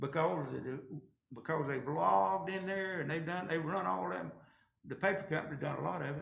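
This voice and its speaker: A man with a rural Georgia accent speaks at a fairly high pitch, his voice making very wide pitch swings amid audible room echo. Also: fairly quick pace. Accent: Southern US (rural Georgia). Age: 70s. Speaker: county commission chairman. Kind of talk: meeting discussion. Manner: casual, folksy.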